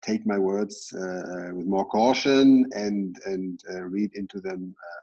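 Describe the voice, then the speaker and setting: A man talks at a fairly slow pace and a fairly low pitch, with ordinary pitch variation. He barely pauses, and his loudness swings widely. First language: not English. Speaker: panelist, policy official. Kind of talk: conference panel answer. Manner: halting, many fillers.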